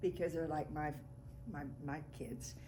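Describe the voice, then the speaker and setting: A woman is speaking in a room with audible echo. Noticeable background noise runs under her voice. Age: 80s. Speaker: family elder, great-grandmother. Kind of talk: family oral history interview.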